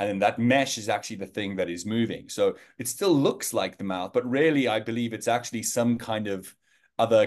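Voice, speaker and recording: At a moderate pace, a man talks with a South African accent. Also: quiet background. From South Africa, Johannesburg. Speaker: learning designer at an AI video company. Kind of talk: interview.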